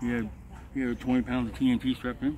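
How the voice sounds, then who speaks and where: A man with a Southern US accent talks at a very fast pace in a medium pitch with monotone, flat intonation. The sound is dry with no echo, and there is light background noise. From Georgia, US South. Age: 50s. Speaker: homeless veteran; interviewee. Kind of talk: street interview. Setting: outdoors. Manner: halting. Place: open country. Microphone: phone near.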